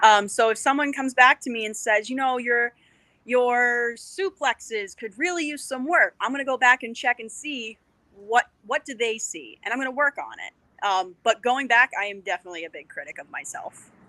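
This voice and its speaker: With an American accent, a woman talks at a moderate pace in a high, bright, sharp tone, her pitch varying in an ordinary way while her loudness swings widely. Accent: Boston accent, being toned down. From Boston area, US. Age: 30s. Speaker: professional wrestler. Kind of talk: podcast interview.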